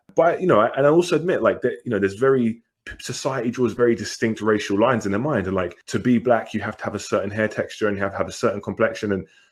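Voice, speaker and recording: A man at medium pitch with a British accent, ordinary pitch variation, a very fast pace and hardly any pauses. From England. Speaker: podcast co-host. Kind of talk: casual chat.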